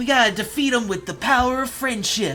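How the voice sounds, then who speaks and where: Doing a put-on character voice, a man speaks raspily at an extremely high pitch and a fairly quick pace, with ordinary pitch variation and clear background noise. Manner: mocking, earnest and over the top.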